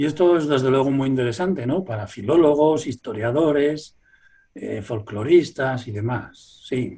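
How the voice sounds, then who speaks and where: This man's voice is somewhat breathy and fairly high in pitch. He talks at a fairly slow pace with ordinary pitch variation. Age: 60s. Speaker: folklorist. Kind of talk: interview.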